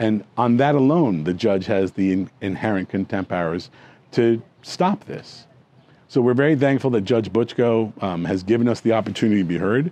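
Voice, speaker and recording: A man speaks at a moderate pace in a fairly low voice with a dark, mellow tone and lively intonation. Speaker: foreclosure lawyer. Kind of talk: press conference statement.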